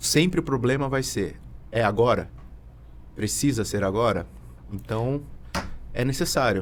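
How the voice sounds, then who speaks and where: A man talks at a fairly slow pace with long, frequent pauses. His voice has vocal fry and ordinary pitch variation. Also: medium pitch for a man. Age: 30s. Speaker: tax consultant. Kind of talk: podcast interview. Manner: halting.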